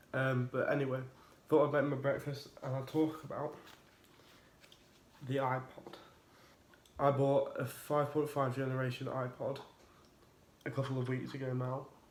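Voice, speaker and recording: In a room with audible echo and noticeable background noise, a man with a fairly high pitch speaks at a moderate pace in a flat monotone, pausing long and often. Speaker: tech YouTuber. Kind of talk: casual review vlog.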